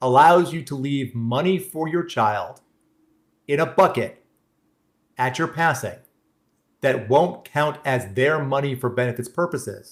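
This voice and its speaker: A man with an American accent speaks at a fairly slow pace in a somewhat breathy voice, leaving long, frequent pauses. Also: fairly high pitch for a man, ordinary pitch variation. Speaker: benefits planning presenter. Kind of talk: workshop presentation with Q&A. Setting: live-streamed online webinar. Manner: halting, frequent restarts.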